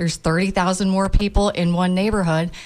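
A woman speaks in an American accent with a normal speaking voice at medium pitch and a moderate pace. Her intonation is fairly even, and the recording is very clean with a silent background. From Tampa, Florida. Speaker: building industry consultant. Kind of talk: radio panel discussion. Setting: radio studio.

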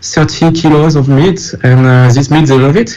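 Over noticeable background noise, a man with a French accent speaks at a fairly high pitch and a fairly slow pace. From France. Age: 40s. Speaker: documentary filmmaker. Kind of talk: interview. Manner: halting.

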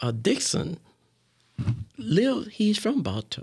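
With an American accent, a man talks at a moderate pace with vocal fry. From West Palm Beach, Florida. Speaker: community leader. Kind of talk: interview. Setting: radio studio.

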